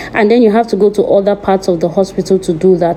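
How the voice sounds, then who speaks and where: A woman at a medium pitch speaks with fairly even intonation against noticeable background noise. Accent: non-native. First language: not English. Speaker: vlogger. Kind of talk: vlog narration. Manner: casual.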